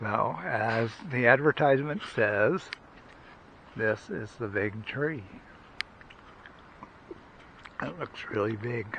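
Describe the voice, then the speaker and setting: A man at a very slow pace with long, frequent pauses, ordinary pitch variation, light background noise and a dry sound with no echo. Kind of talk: casual vlog chat. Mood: amused, impressed. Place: forest. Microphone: phone near.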